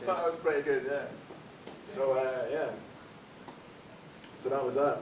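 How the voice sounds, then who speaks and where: A man with a fairly high pitch and fairly even intonation, amid audible room echo and noticeable background noise. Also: moderate pace. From Scotland, West Highlands. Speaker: comedy MC. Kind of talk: stand-up. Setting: stage with audience.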